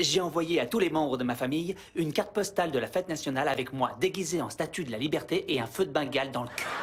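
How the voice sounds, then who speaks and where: A man at a fairly high pitch, talking at a very fast pace with hardly any pauses and ordinary pitch variation over noticeable background noise. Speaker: voice actor. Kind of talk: dubbing demo reel. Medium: dub.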